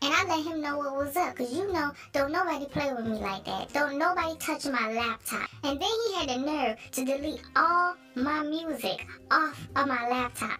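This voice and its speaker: In a put-on character voice, the speaker goes at a moderate pace with hardly any pauses, over clear background noise. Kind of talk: comic overacting. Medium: fan dub. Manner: boastful, streetwise, casual.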